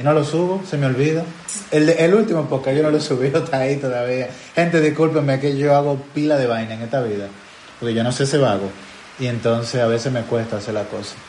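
Noticeable background noise and audible room echo surround a man speaking at a very fast pace in a Dominican accent. His fairly high voice has ordinary pitch variation. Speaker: podcast host. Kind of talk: casual chat.

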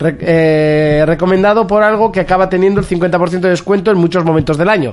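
Noticeable background noise sits behind a man's high-pitched voice. He talks fairly quickly, with ordinary pitch variation. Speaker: video game podcast host. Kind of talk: casual chat. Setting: live stream with camera.

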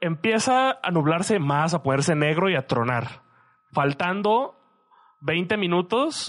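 A man's high-pitched voice with very wide pitch swings. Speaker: podcast co-host, student. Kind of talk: casual chat.

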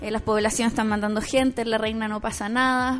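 With a Chilean accent, a woman speaks fairly quickly at a fairly high pitch in a monotone, flat intonation while music plays in the background. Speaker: teacher and radio co-host. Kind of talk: casual chat.

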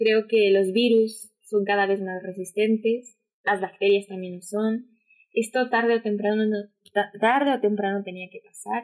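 The woman's intonation is monotone and flat. She talks at a fairly slow pace. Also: medium pitch for a woman. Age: 20s. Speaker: COVID-19 survivor, communications graduate. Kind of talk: casual chat.

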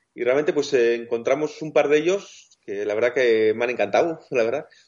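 A man is speaking at a moderate pace. He has a plain, everyday voice. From Basque Country. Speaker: wheelchair-using travel blogger. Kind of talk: interview.

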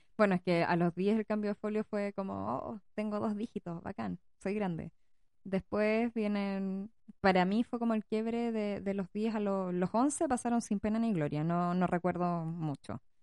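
A woman with a Chilean accent speaks at a fairly slow pace and a medium pitch, with ordinary pitch variation. Her tone is dark and mellow, and the sound is dry and close with no echo. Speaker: podcast co-host, parent. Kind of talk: casual chat.

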